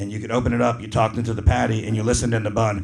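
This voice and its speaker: A man with a medium-pitched, somewhat breathy voice talks at a very fast pace. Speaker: stand-up comedian. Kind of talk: live stand-up comedy set.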